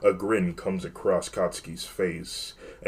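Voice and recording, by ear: The speaker reads aloud in a natural voice.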